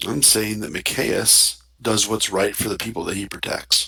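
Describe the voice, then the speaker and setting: A man puts on a raspy character voice at a fairly low pitch. He speaks at a moderate pace. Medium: actual play. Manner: curt, formal.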